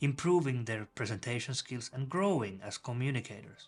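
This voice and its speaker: A man with a non-native accent speaks at a moderate pace and a medium pitch, his intonation lively. Music plays in the background. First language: not English. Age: 30s. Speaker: YouTuber, presentation coach. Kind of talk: motivational vlog monologue.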